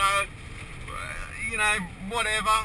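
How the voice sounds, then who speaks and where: A man's high-pitched, raised, projected voice with an Australian accent and an amused tone, at a moderate pace over noticeable background noise. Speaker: truck driver. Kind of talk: casual talk to camera. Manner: amused, swearing.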